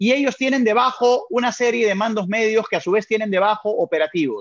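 Here a man speaks with a high pitch. His pace is moderate, and the background is quiet. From Peru. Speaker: customer experience consultant. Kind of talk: interview.

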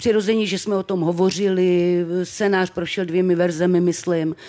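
A woman at a fairly slow pace. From Czechia, Třebíč (Moravia). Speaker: actress. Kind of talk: live podcast interview. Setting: stage with live audience. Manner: expressive.

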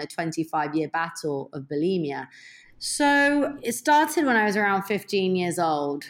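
A plain, everyday voice with an American accent speaks at a fairly slow pace and with lively intonation. The recording is very clean, with a silent background. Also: woman. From England and abroad (Boston, Milan, London). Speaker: entrepreneur and former DJ. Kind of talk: interview conversation.

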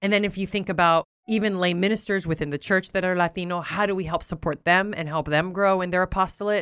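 Talking very fast with hardly any pauses, a woman with a Southern California accent uses an animated tone at a medium pitch. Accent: Southern Californian English. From Southern California (Oxnard), Puerto Rican-Cuban family. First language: Spanish. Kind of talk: interview conversation.

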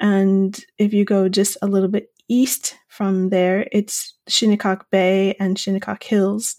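With a dark, mellow tone, the speaker delivers monotone, flat intonation at a very slow pace with hardly any pauses and very even loudness, in a very clean recording with a silent background. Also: woman, medium pitch for a woman. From Long Island, New York. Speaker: photographer. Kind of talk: interview.

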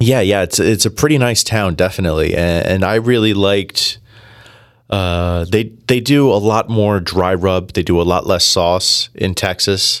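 On a very clean recording with a silent background, a man with an American accent speaks in a plain, everyday voice at a moderate pace, with a fairly low pitch and ordinary pitch variation. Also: very even loudness. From New Jersey. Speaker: food expert. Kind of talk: casual chat.

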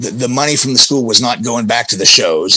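A man speaks in a normal speaking voice at a medium pitch. His pitch varies in an ordinary way. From Pennsylvania, US. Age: 30s. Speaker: professional wrestler. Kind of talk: casual interview.

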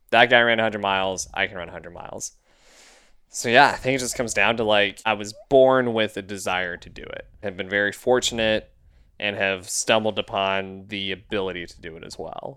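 A man with a Texan accent speaks at a fairly quick pace and a fairly low pitch in a bright, sharp tone, with big swings in loudness, in a very clean recording with a silent background. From Texas. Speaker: podcast co-host and runner. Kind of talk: casual interview. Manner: animated, enthusiastic.

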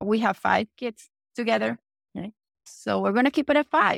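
Recorded dry and close with no echo, a woman with a Venezuelan accent talks at a moderate pace. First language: Spanish. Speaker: entrepreneur. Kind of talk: interview.

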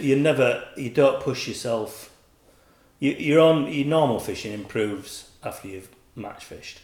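At a moderate pace, a man speaks in a Yorkshire accent with ordinary pitch variation. Audible room echo surrounds the voice. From Yorkshire, England. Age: 40s. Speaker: carp angler, bait company manager. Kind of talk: casual chat.

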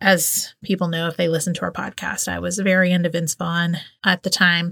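A woman's fairly low voice with a Southern US accent, bright and sharp in tone, at a moderate pace, in a dry, close sound with no echo. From US South. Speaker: podcast host. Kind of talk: casual chat.

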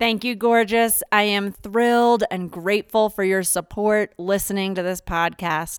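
Medium-pitched and with an American accent, a woman talks at a fairly slow pace with fairly even intonation in an ordinary speaking voice. The sound is dry and close, with no echo. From Philadelphia, US. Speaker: podcast host. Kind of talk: casual conversation.

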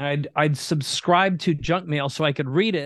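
A man with an Upper Midwest accent speaks at a fairly high pitch over a quiet background. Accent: Upper Midwest American. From Minnesota, US Midwest. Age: 50s. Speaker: entrepreneur. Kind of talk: interview.

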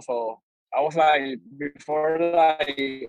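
With a non-native accent, a man talks in a monotone, flat intonation. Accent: foreign. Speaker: fitness content creator in coaching program. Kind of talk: group coaching call. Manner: halting. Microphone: camera cutting in and out.

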